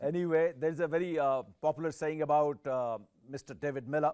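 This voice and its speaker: In a very clean recording with a silent background, a man with an Indian accent talks at a fairly high pitch with ordinary pitch variation. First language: Hindi. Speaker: sports journalist. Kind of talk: interview.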